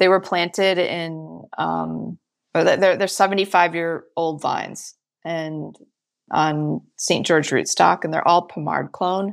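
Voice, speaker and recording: A woman with an American accent speaks at a very slow pace in a very clean recording with a silent background. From Michigan, US Midwest. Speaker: winemaker. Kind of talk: interview.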